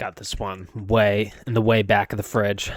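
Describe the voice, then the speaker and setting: A man's fairly low-pitched voice at a fairly slow pace. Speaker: gaming streamer. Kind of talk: casual live stream chat. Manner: rambling with many fillers.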